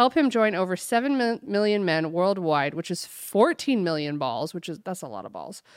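In a very clean recording with a silent background, a woman uses a plain, everyday voice at medium pitch, with lively intonation and a moderate pace. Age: 30s. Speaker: podcast co-host. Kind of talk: casual chat.

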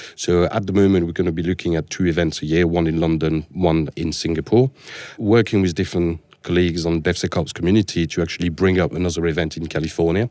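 Talking very fast, a man with a French accent has a very deep, low pitch. His tone is dark and mellow. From France. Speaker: security architect. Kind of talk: podcast interview.

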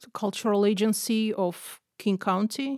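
A woman with a Russian accent talks at a medium pitch with ordinary pitch variation. The recording is very clean with a silent background, and the sound is dry and close with no echo. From Russia (Moscow). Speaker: visual artist and photographer. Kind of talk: podcast interview.

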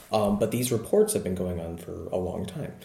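A man speaks in a fairly low pitch with a somewhat breathy voice. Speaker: research psychologist. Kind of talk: interview about research, casual and explanatory. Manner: hesitant, many fillers.

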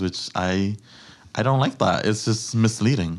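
A man with an unremarkable speaking voice, fairly low pitch, an American accent, ordinary pitch variation and a moderate pace. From New York City, the Bronx. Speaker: food blogger. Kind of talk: casual chat.

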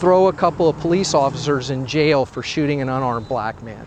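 Noticeable background noise is audible. A man talks over it with ordinary pitch variation. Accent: American. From US South. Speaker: sociology professor. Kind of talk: interview. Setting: outdoors, walking city streets.

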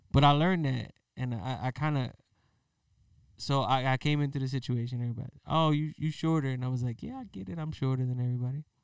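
A man speaks at medium pitch and a very fast pace with ordinary pitch variation in a very clean recording with a silent background. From Philadelphia. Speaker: podcast co-host. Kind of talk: casual chat.

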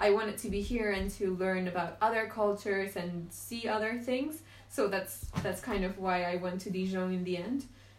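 With a Spanish accent, a woman speaks at a moderate pace. Her intonation is fairly even, and she hardly pauses. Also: medium pitch for a woman. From Venezuela. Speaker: podcast guest. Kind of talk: casual chat.

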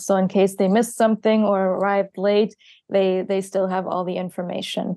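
Against a quiet background, a woman speaks in a medium pitch with ordinary pitch variation, a dark, mellow tone and a dry, close sound with no echo. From southeastern Germany. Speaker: meeting moderator. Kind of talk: meeting moderation. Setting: video call.

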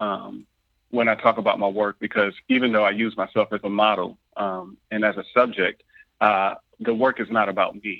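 Fairly even intonation runs through speech delivered at a moderate pace. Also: man. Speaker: artist and scholar. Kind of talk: interview. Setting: phone call. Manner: halting, many fillers.

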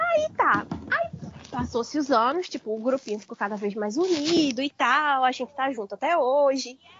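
A woman with a high pitch and ordinary pitch variation speaks over noticeable background noise. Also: moderate pace. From Brazil, Recife. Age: 20s. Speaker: podcast guest. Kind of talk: casual chat.

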